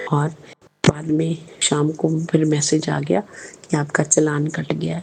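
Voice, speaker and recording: Over noticeable background noise, a woman speaks fairly slowly in a very deep, low pitch with monotone, flat intonation. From Punjab, India (Jalandhar). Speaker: religious devotee. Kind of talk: testimony.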